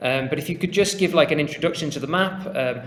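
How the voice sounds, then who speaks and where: Room echo is audible around a man's voice. His pitch varies in an ordinary way. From England. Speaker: podcast host. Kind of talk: casual podcast chat.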